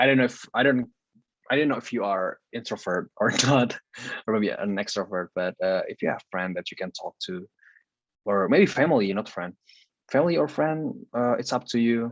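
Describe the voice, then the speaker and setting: A man with an Indonesian accent talks at a fairly quick pace, medium in pitch, with lively intonation. The sound is dry and close with no echo, over a quiet background. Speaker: university student, guest speaker. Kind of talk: coaching talk.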